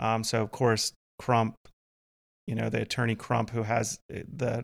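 A man speaks at a medium pitch with vocal fry. His intonation is monotone and flat. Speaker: police officer podcast host. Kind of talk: casual chat. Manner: frequent um filler words.

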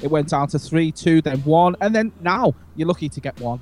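With a Liverpool accent, a man talks at a high pitch and a moderate pace. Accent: Scouse. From northern England, Liverpool. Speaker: podcast host. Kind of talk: casual chat.

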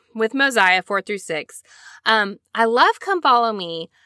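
A woman with an American accent speaks in a fairly high pitch, her tone bright and sharp and her intonation lively. The very clean recording has a silent background and a dry, close sound with no echo. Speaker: podcast host. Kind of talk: solo religious study podcast, casual. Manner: fast talker; casual, animated.

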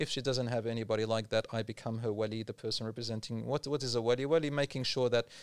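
Speaking at a very fast pace with a medium pitch, a man is heard on a very clean recording with a silent background and a dry, close sound with no echo. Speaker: Islamic preacher. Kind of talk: casual chat. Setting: studio.

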